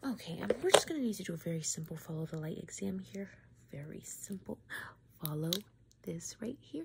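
At a moderate pace, a woman with a medium pitch makes big pitch swings, and vocal fry shows in her voice.

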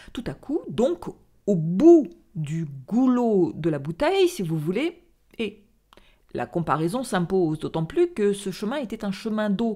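Dark, mellow tone at a very slow pace over a quiet background. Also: woman. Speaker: storyteller reading a theatrical monologue. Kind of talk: dramatic narration of a monologue, read aloud. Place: home room. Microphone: studio mic.

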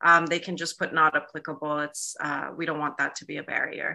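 A woman speaks at a moderate pace in a fairly low pitch. Her tone is bright and sharp against a quiet background. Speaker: event organizer; event host. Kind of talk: closing announcements. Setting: video call. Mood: warm, enthusiastic. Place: home room. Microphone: video call.

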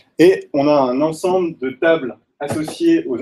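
The man's pitch sits fairly high, with ordinary variation. His tone is dark and mellow. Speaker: data scientist; presenter. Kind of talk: technical talk. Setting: stage with audience. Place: meeting room.

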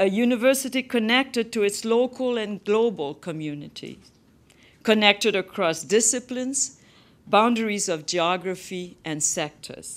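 A woman speaks at a moderate pace with a French Canadian accent. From Quebec. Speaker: university principal. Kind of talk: formal address then audience Q&A. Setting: stage with audience, webcast. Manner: formal. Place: hall. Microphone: podium.

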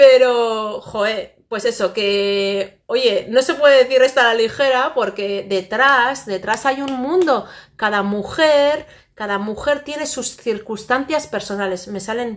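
At a very slow pace, a woman speaks with a fairly high pitch. Her pitch varies in an ordinary way. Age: 40s. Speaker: vlogger. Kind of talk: casual chat. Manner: halting. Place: home room. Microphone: phone near.

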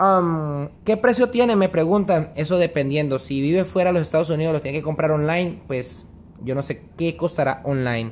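At a moderate pace, a man with a plain, everyday voice talks at a fairly high pitch with ordinary pitch variation and light background noise. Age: 30s. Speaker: vlogger. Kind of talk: casual vlog monologue. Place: home room. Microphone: phone near.

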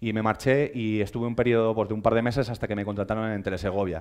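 Here a man talks at a very fast pace. His pitch is medium, and the background is quiet. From Spain. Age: 30s. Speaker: social media editor; conference speaker. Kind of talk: lecture. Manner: hesitant, many fillers. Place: hall. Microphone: headset.

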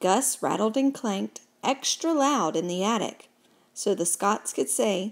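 A natural reading voice, its intonation lively

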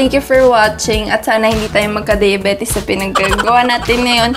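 A woman speaks at a fairly quick pace in a high pitch with fairly even intonation. Clear music plays in the background. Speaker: food vlogger. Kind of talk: casual vlog chat. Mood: playful, cheerful. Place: home room. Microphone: phone near.

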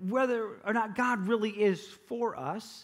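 A man is speaking. The background is quiet. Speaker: pastor. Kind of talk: sermon. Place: stage.

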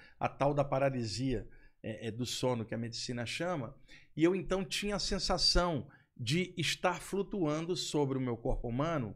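At a moderate pace, a man talks with lively intonation against a quiet background. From Brazil, Rio de Janeiro. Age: 60s. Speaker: spiritual researcher and lecturer; lecturer. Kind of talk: podcast interview. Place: studio. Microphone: studio mic.

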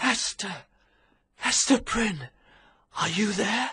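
A put-on character voice sits at a fairly high pitch. The pace is very slow. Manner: softer, quieter voice.

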